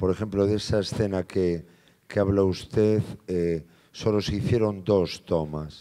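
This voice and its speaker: Over a quiet background, a man talks at a fairly slow pace with a fairly low pitch. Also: fairly even intonation. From Galicia, Spain. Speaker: film actor. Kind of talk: Q&A at a film screening. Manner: halting, repeats words. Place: hall. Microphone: handheld.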